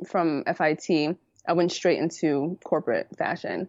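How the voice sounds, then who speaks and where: This woman has a very deep, low voice with a New York accent. She speaks at a fairly slow pace. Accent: New York City. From New York City (the Bronx). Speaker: apparel design consultant and podcaster. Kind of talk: interview, casual chat. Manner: animated, laughs often.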